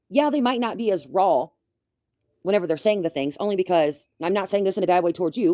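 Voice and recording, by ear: Fairly quick and lively in intonation, a woman speaks in a fairly low pitch with a dark, mellow tone, the sound dry and close with no echo.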